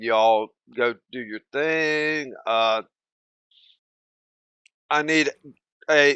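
Speech comes very slowly, with a bright, sharp tone that is also clear and smooth and ordinary pitch variation. The sound is dry and close with no echo. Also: man, medium pitch for a man.

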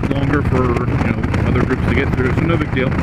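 Loud background noise is present. Through it, a man talks. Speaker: motovlogger. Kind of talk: casual vlog chat. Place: motorbike. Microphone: helmet.

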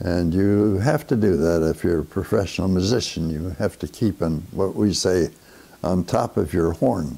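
This man has a very deep, low pitch and a dark, mellow tone, speaking at a moderate pace with ordinary pitch variation and very even loudness. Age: 80s+. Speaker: big band leader and saxophonist. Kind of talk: interview answer. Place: home room. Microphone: lapel.

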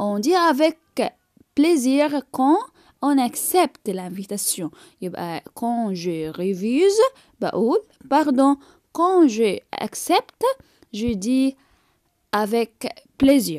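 A woman with an Egyptian accent speaks very slowly at a high pitch, with very wide pitch swings and long, frequent pauses, in a dry, close sound with no echo. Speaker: French teacher. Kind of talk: tutorial.

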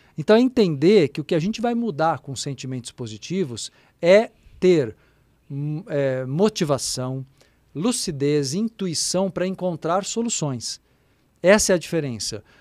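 Pausing long and often, a man talks at a fairly slow pace in a fairly high pitch with very wide pitch swings, the sound dry with no echo. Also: quiet background. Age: 50s. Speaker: spiritual therapist and radio host; podcast guest. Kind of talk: casual chat. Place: studio. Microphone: studio mic.

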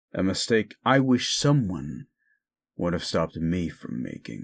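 In a gruff, put-on character voice, a man talks at a moderate pace with a very deep, low pitch and very wide pitch swings. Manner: sarcastic.

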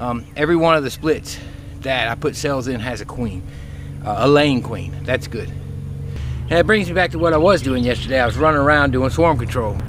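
A man's voice with ordinary pitch variation, dry with no echo, amid noticeable background noise. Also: moderate pace. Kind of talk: casual vlog chat. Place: garden. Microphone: phone near.

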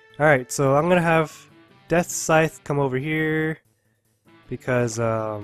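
A man with a fairly high pitch talks at a fairly slow pace over music in the background. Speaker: video game let's player. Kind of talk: gameplay commentary. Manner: dull, low-energy.

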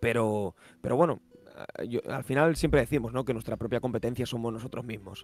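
A man speaks at a fairly quick pace and medium pitch, with ordinary pitch variation, in a dry recording with no echo. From Spain, Valencia. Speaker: motorsport live commentator and YouTuber. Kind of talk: casual chat. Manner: halting. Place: home room. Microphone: studio mic.

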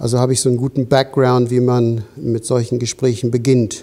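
In an English accent, a man speaks with a dark, mellow tone at a moderate pace. His intonation is monotone and flat over a quiet background. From England. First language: English (speaking German). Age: 60s. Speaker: osteopathy teacher. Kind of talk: interview. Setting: studio. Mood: calm, reflective. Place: studio. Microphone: lapel.

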